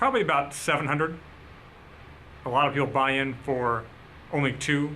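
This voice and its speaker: Audible room echo surrounds a man speaking at a moderate pace in a fairly high pitch. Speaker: poker vlogger. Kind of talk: vlog narration. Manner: casual, many filler uh's.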